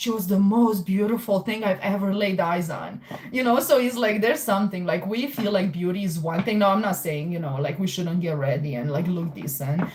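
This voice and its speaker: A woman of medium pitch speaks fairly quickly with a Romanian accent and hardly any pauses, over noticeable background noise. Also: lively intonation. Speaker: tarot reader. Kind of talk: live stream chat with tarot readings. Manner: casual, filler-heavy.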